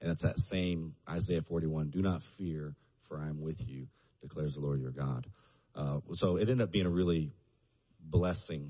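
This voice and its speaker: In a Southern US accent, a man speaks at a very deep, low pitch. His pace is moderate, with ordinary pitch variation. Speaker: church minister. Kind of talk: casual chat.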